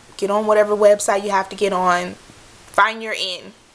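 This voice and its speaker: A woman with an American accent speaks at a medium pitch in a monotone, flat intonation. There is noticeable background noise. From Michigan. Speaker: background extra. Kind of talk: casual talk to camera. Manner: rambling, chatty.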